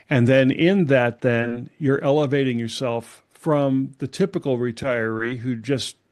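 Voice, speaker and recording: An unremarkable speaking voice from a man, medium in pitch, at a fairly slow pace against a quiet background. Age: 60s. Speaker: retirement coach and former pastor. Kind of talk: podcast interview.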